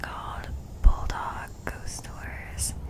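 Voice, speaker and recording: Against noticeable background noise, a woman is whispering. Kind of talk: casual talk to camera. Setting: studio microphone recording. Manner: whispered, soft-spoken.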